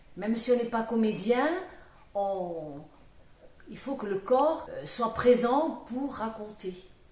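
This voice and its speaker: Speaking very slowly with a slight southwestern French accent, a woman uses lively intonation at a fairly high pitch, while audible room echo and noticeable background noise fill the recording. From southwest France, Aveyron. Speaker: storyteller. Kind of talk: interview conversation. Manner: hesitant, many fillers.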